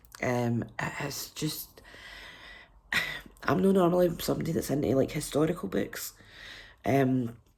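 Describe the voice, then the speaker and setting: Speaking at a fairly slow pace with long, frequent pauses, a woman with a Scottish accent has a very deep, low pitch, a dark, mellow tone and lively intonation. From Scotland. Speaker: book reviewer. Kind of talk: casual vlog review.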